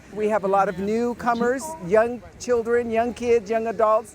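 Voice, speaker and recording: The woman's voice sits fairly high in pitch and moves at a moderate pace. Noticeable background noise runs behind her. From National City, San Diego. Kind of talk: interview.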